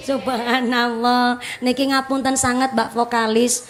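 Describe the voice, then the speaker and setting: A woman with a Javanese accent and a high pitch speaks at a fairly slow pace in a flat monotone, with noticeable background noise. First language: Javanese (speaking Indonesian). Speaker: female Islamic preacher. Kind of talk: religious lecture. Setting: mosque gathering with audience.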